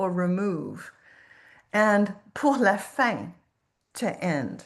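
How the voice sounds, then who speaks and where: A woman's medium-pitched voice in a Quebec accent. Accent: Quebecois French. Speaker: professor and food historian. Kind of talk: lecture.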